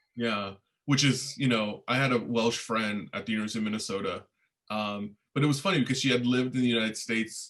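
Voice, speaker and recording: Speaking with a Spanish accent, a man talks very fast at a medium pitch with ordinary pitch variation. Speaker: history professor. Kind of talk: informational Q&A session. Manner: halting, many fillers and repetitions.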